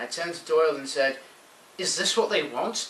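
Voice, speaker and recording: A man mumbles quietly at a fairly quick pace amid noticeable background noise. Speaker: amateur storyteller. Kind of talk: read sci-fi story. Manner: mumbly, quiet.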